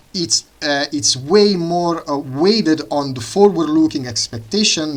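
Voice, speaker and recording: A man with an Italian accent and lively intonation. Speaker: economics student and channel host. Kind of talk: lecture. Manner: halting, many fillers.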